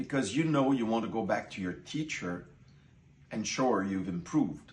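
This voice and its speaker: In a French Canadian accent, a man talks at a moderate pace with lively intonation, and the room echo is audible. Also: medium pitch for a man. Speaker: course participant. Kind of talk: testimony.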